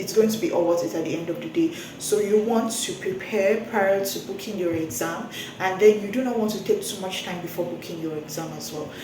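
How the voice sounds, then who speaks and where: Noticeable background noise and audible room echo accompany a woman of medium pitch who talks at a fairly quick pace with ordinary pitch variation. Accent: Nigerian. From Nigeria. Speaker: medical laboratory scientist vlogger. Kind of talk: casual advice vlog. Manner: fast.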